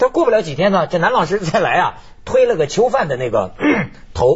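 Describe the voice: A man's high-pitched voice at a moderate pace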